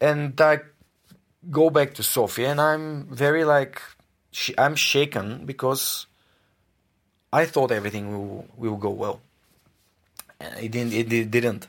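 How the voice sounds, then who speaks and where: In a Bulgarian accent, a man speaks at a very slow pace with long, frequent pauses and ordinary pitch variation on a very clean recording with a silent background. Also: medium pitch for a man. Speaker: podcaster. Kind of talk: interview.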